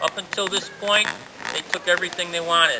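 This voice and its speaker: With an American accent, a man speaks at a high pitch for a man and with fairly even intonation over noticeable background noise. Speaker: sociology teacher and historical reenactor. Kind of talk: historical presentation to a crowd. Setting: outdoors.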